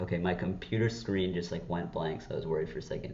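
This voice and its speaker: The voice is shaky and somewhat breathy, moving at a very fast pace. Room echo can be heard. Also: man. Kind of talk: casual unscripted vlog. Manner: halting, with false starts; shaky voice.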